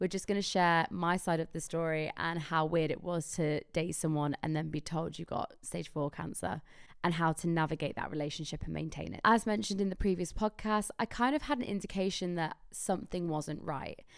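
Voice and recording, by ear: A raspy, low-pitched woman's voice with vocal fry, fairly even intonation and a fairly quick pace, on a very clean recording with a silent background.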